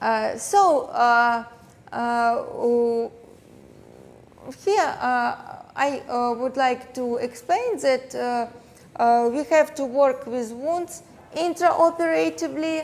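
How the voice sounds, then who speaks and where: A woman with a Russian accent speaks in a high voice with lively intonation. Her pace is very slow, broken by long, frequent pauses. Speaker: plastic surgeon and dermatologist. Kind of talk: lecture. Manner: halting, many fillers.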